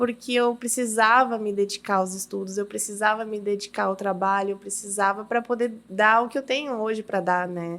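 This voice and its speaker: Fairly even intonation marks a woman speaking at a medium pitch. The recording is very clean, with a silent background. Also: moderate pace, hardly any pauses. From Uruguay (Brazilian raised there from age 4). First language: Spanish (speaking Portuguese). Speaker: businesswoman, podcast guest. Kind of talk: testimony in casual interview. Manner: halting, repeats words.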